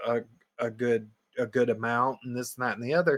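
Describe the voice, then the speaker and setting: A man speaks with a Southern US accent on a very clean recording with a silent background. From US Southeast. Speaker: podcast co-host. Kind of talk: casual chat. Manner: animated.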